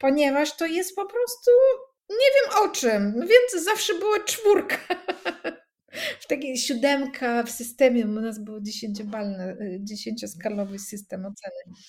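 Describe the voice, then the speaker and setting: Her pitch moves in very wide swings. This woman's voice is high, and she talks at a moderate pace. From Russian-speaking country. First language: Russian (speaking Polish). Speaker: coach. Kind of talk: casual chat.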